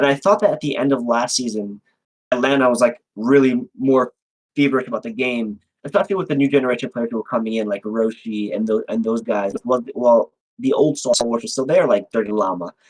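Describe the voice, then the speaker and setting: An animated man with an American accent, medium-pitched, at a fairly quick pace with ordinary pitch variation, the sound dry and close with no echo. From New York City (Manhattan). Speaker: fighting game tournament organizer. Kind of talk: interview. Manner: loud.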